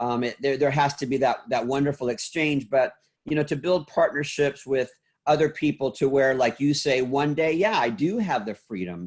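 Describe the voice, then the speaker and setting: A man with a normal speaking voice, fairly high in pitch, with ordinary pitch variation at a moderate pace. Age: 60s. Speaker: salon school founder and motivational speaker. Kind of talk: podcast interview.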